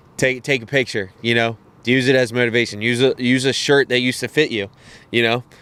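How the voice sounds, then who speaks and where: With an American accent, a man speaks in a bright, sharp tone at a medium pitch and fairly quick pace, his intonation monotone and flat. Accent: country accent, sometimes. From Cecil County, Maryland (Elk Neck). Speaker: podcast guest. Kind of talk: casual chat.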